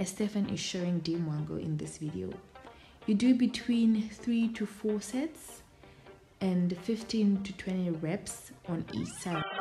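Music plays behind a woman speaking at a fairly slow pace. Her pitch varies in an ordinary way. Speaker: channel host narrating. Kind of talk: tutorial voice-over.

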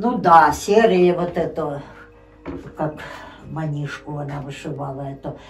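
Over light background noise, a woman speaks at a very slow pace with a very deep, low pitch. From Ukraine, Poltava region. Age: old. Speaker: grandmother telling her life story. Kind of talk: interview answer. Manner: casual, conversational. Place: home room. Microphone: phone near.

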